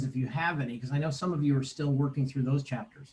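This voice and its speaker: A man's voice sits at a fairly high pitch and sounds somewhat breathy. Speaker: math teacher. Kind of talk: online lecture.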